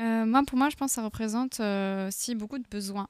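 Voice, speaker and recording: A woman with a fairly high pitch speaks in an unremarkable speaking voice, her intonation fairly even. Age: 30s. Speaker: queer association volunteer. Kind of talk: radio panel discussion.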